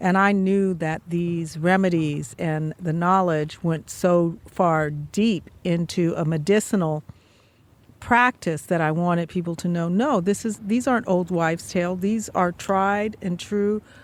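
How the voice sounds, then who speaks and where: Talking at a fairly slow pace, a woman has a plain, everyday voice with fairly low pitch and ordinary pitch variation. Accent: American. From Oakland, California. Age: 60s. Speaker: traditional healing practitioner and author. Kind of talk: interview. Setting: outdoors.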